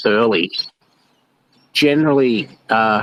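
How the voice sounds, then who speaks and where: Ordinary pitch variation marks a man's voice, heard dry and close with no echo. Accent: Australian. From Australia. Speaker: bitcoin miner, audience participant. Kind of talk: casual question from audience. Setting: online audio room. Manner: hesitant, many fillers.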